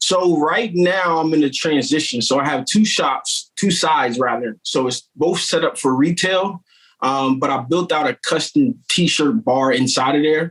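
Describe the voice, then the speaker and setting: Speaking with an American accent in a plain, everyday voice, a man with a fairly high pitch uses lively intonation at a fairly slow pace with hardly any pauses. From Wilmington, Delaware, US. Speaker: t-shirt shop owner and entrepreneur. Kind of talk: podcast interview, casual chat.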